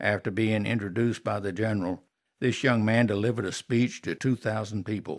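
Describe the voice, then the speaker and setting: In a Southern US accent, a man with a fairly low pitch speaks at a moderate pace on a very clean recording with a silent background. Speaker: artist. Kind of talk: travel guide narration. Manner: folksy, storytelling.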